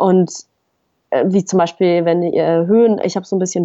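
The speaker is a woman whose pitch is medium. She delivers her words with monotone, flat intonation. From Western Switzerland, Fribourg. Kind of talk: casual interview.

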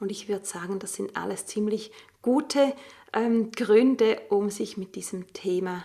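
Her fairly high pitch paired with a dark, mellow tone and vocal fry, a woman speaks at a fairly slow pace with fairly even intonation. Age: 40s. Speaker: stress coach and podcast host. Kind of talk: solo podcast monologue.

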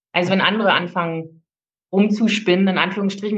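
In a monotone, flat intonation, a woman talks at a fairly quick pace. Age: 40s. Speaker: coaching client, single mother. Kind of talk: personal testimony. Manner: halting, many fillers.

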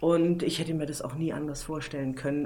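A woman speaks with audible room echo. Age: 40s. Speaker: PR manager and travel journalist. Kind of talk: interview.

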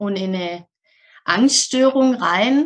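A woman's very slow speech with lively intonation. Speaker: mental health coach. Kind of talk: interview.

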